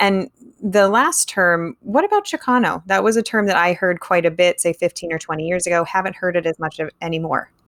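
An unremarkable speaking voice from a woman at medium pitch, fairly quick in pace with hardly any pauses and ordinary pitch variation, dry and close with no echo. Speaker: podcast host. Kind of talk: interview.

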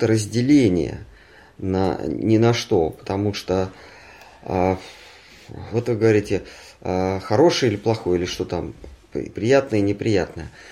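At a very slow pace, the speaker talks in a dark, mellow tone. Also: man. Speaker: spiritual teacher reading and commenting scripture. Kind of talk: scripture reading with discussion. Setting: at home with a small group.

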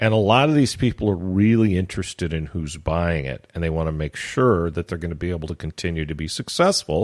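A man at a fairly quick pace with hardly any pauses and ordinary pitch variation, on a very clean recording with a silent background. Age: 60s. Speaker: adult website broker. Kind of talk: interview. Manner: rambling with fillers.

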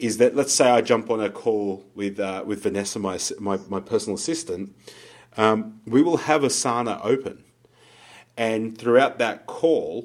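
A man speaks at medium pitch and a fairly slow pace, with ordinary pitch variation in an ordinary speaking voice. The recording is very clean, with a silent background. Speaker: podcast co-host and business coach. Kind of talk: casual conversational podcast chat.

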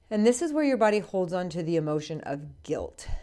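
A woman speaks in a dark, mellow tone on a very clean recording with a silent background. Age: 40s. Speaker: podcast host. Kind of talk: solo educational monologue.

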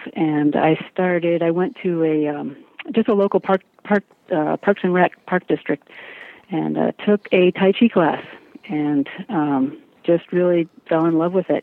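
A woman speaks in a plain, everyday voice at a fairly slow pace. Her pitch sits fairly low, with ordinary variation. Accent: American. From US Midwest, Chicago area. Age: 40s. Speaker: martial arts teacher and wooden sword maker. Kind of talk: interview.

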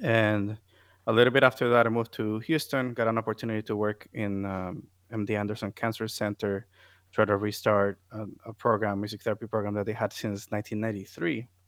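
In a Puerto Rican accent, a man with a fairly low pitch speaks in a monotone, flat intonation, with a dry, close sound with no echo on a very clean recording over a silent background. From Puerto Rico. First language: Spanish. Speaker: music therapist. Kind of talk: interview conversation.

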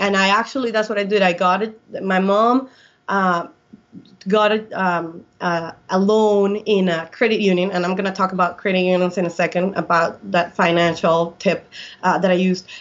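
With a Colombian accent, a woman speaks at medium pitch and a moderate pace. Her loudness stays very even and her intonation fairly even. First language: Spanish. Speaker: airline pilot. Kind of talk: interview.

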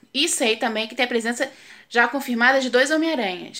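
On a very clean recording with a silent background, a woman projects a raised voice with a bright, sharp tone at a moderate pace. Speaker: professional voice actress. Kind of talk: casual video segment. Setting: video recording. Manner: casual.

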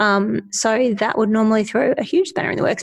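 A somewhat breathy woman at a very fast pace. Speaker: podcast co-host. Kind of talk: casual chat.

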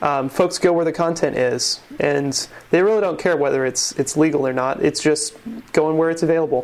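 Using an ordinary speaking voice, a man talks at a moderate pace and fairly high pitch, with fairly even intonation. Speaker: podcast host. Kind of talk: casual podcast chat. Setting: home.

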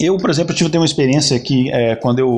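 Against noticeable background noise, a man talks at medium pitch. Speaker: podcast co-host. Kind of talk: casual chat.

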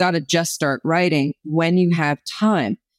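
A woman with an American accent and an unremarkable speaking voice. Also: dry, close sound with no echo. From New Jersey. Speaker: author and former actress. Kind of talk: testimony.

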